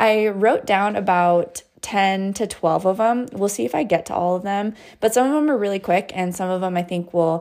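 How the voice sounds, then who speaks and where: At a moderate pace, a woman with a medium pitch speaks in an unremarkable speaking voice. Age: 30s. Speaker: podcast host. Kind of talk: casual chat. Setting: remote call.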